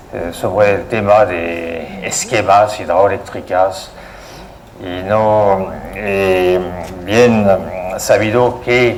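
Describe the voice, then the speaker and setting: With a French accent, a man speaks over noticeable background noise, and audible room echo is present. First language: French (speaking Spanish). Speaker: hydroelectric engineer. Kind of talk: lecture. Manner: halting, many fillers.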